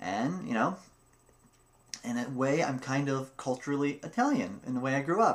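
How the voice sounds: A man speaks at a moderate pace. His pitch sits in the medium range and varies in an ordinary way.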